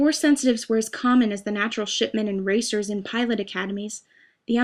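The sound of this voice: Fairly even intonation from an unforced reading voice, set against a quiet background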